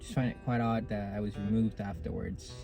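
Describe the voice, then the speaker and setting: Music plays in the background as a man speaks fairly quickly at a medium pitch. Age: young. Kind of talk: casual talk to camera. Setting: in a car.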